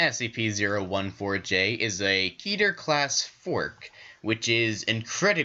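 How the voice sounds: Lively intonation in a natural reading voice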